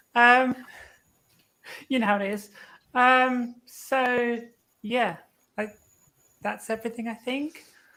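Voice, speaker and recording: A woman with a British accent speaks at a very slow pace, with long, frequent pauses. Her voice is high-pitched with a bright, sharp tone and fairly even intonation. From UK. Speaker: luthier. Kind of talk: casual chat.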